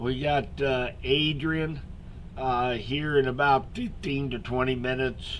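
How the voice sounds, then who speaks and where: In an American accent, a man speaks at a fairly slow pace and a medium pitch, his intonation monotone and flat. Audible room echo surrounds the voice. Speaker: local weather forecaster. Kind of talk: live weather update stream. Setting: live stream with chat. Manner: soft-spoken; casual with many fillers.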